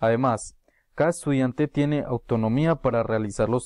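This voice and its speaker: Against a quiet background, a man at medium pitch speaks at a moderate pace with fairly even intonation, and the sound is dry with no echo. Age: 20s. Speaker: university student. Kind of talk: prepared class presentation. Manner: formal. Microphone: webcam.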